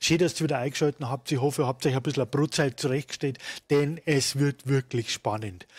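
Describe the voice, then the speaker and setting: In a Munich accent, a man speaks at a medium pitch with fairly even intonation. The recording is very clean, with a silent background. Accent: Bavarian, Munich dialect. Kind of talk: gaming commentary, let's play. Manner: casual, jovial.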